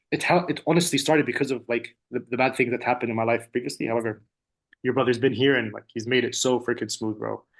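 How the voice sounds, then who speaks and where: Speaking very fast with an Arabic accent, a man holds a medium pitch with ordinary pitch variation. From UAE. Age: 30s. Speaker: language student and entrepreneur. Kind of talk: testimonial interview. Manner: casual, halting with many fillers and repeats.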